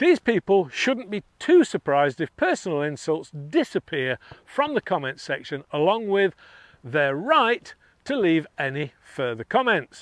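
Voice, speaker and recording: A man with a high voice talks at a fairly slow pace, his pitch swinging very widely, in a dry, close sound with no echo and a quiet background. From northeast England. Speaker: airgun reviewer, channel host. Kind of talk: casual monologue responding to comments. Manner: excitable at times.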